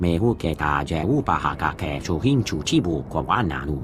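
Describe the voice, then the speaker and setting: A man's put-on character voice, very deep and low, at a moderate pace over clear music in the background. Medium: video game.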